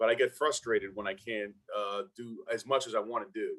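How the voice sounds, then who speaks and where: At a fairly quick pace, a man talks in a Brooklyn accent. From Brooklyn, New York. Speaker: former NFL player and motivational speaker. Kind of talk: casual interview chat.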